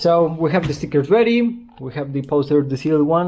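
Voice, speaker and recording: Noticeable background noise sits under the audio. A man with a strong Spanish accent talks at a fairly quick pace. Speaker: car customizer and video creator. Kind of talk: casual vlog. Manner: halting.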